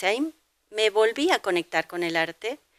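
The voice has a bright, sharp tone at a moderate pace. The sound is dry with no echo, over a quiet background. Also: woman. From Argentina, Buenos Aires. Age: 50s. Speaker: painter. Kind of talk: interview. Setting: at home. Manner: halting. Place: home room. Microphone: handheld.

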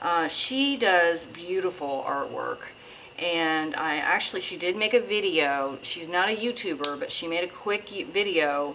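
A woman speaks at a fairly low pitch and a fairly slow pace. Light background noise can be heard. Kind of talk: tutorial. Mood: relaxed, hopeful. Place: home room.

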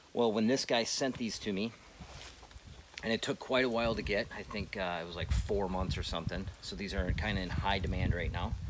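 A man's fairly low voice at a fairly quick pace, with ordinary pitch variation over noticeable background noise. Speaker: hunter demonstrating gear. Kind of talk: tutorial. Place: forest.

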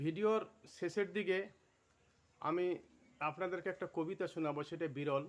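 His pitch is high for a man. The man keeps a fairly even intonation. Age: 70s. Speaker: Islamic motivational speaker. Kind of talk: religious motivational talk.

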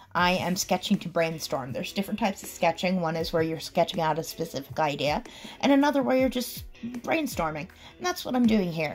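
Faint music plays in the background. A woman talks at a fairly quick pace with a fairly low pitch. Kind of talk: process commentary voice-over.

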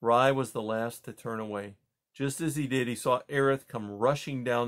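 Someone is doing plain reading aloud. The background is quiet.

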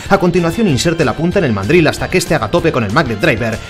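Over music in the background, a man talks very fast with lively intonation. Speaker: voice actor. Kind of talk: TV shopping commercial read. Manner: upbeat, persuasive.

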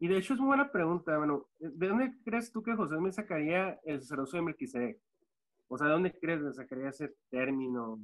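Over a quiet background, a man talks at a fairly quick pace. His fairly high pitch moves in very wide swings. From US-Mexico border, Ciudad Juárez / El Paso; US-Mexico border. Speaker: former church member; podcast guest. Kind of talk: panel discussion. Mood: friendly, smiling. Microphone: video call.

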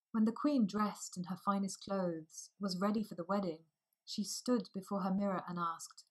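Quiet surroundings behind a natural reading voice

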